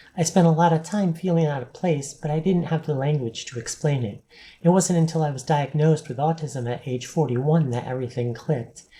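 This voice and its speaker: Somewhat breathy, a woman talks at a fairly quick pace in a very deep, low pitch with a dark, mellow tone and ordinary pitch variation. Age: 40s. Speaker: vlogger. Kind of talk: personal vlog monologue. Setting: on camera, home video.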